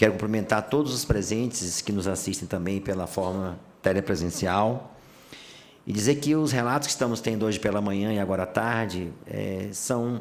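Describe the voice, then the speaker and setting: At a moderate pace, a man with an unremarkable speaking voice talks at a fairly low pitch with ordinary pitch variation. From Bahia, Brazilian Northeast. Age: 60s. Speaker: judge. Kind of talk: formal panel speech.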